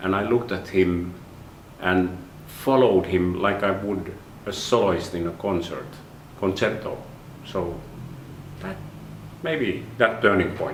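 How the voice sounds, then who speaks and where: Audible room echo surrounds a man with a very deep, low pitch and ordinary pitch variation. He talks at a fairly slow pace with long, frequent pauses. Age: 60s. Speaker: orchestra conductor and conducting professor. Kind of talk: interview monologue. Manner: halting.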